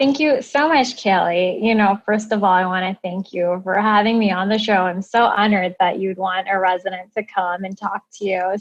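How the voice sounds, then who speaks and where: With a Midwestern American accent, a woman speaks at a moderate pace and medium pitch, using ordinary pitch variation and hardly any pauses. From US Midwest. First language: Indian language (English is third). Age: 30s. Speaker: plastic surgery resident. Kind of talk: interview.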